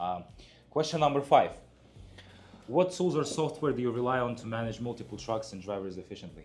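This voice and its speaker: A man with a non-native accent speaks at a fairly quick pace in a medium pitch with ordinary pitch variation. Music plays in the background. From outside the US. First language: not English. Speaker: truck dispatcher. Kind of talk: casual interview chat.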